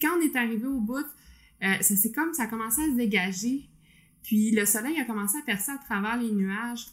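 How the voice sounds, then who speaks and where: A woman talks at a fairly quick pace in a Quebec accent. Her pitch sits fairly high. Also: ordinary pitch variation. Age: 30s. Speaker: podcast co-host, accountant. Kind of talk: casual chat.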